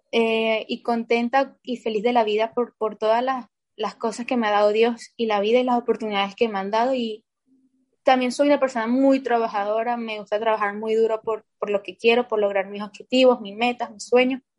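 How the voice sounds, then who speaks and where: Her fairly high voice stays monotone and flat as the woman talks at a moderate pace. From Venezuela. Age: 20s. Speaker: basketball player. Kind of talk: interview.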